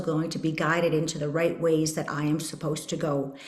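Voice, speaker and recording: Over noticeable background noise and audible room echo, a woman speaks at a fairly quick pace. Her fairly low voice carries a Canadian accent. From Canada, Saskatchewan. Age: 50s. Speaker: podcast host. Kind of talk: personal testimony.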